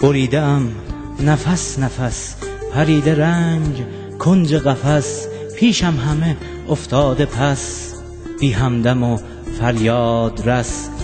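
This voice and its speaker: Music in the background behind a man at a medium pitch, very slow, with long, frequent pauses and ordinary pitch variation. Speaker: poet. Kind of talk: poetry reading over music.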